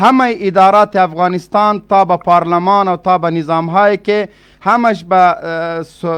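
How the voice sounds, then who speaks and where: At a moderate pace, a man speaks in a high-pitched voice. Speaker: political spokesman. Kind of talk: heated debate.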